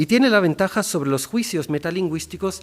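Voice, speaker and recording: A man talks with lively intonation. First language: German (speaking Spanish). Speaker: linguist. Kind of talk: formal academic speech. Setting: ceremony hall with audience. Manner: formal; some hesitations and self-corrections.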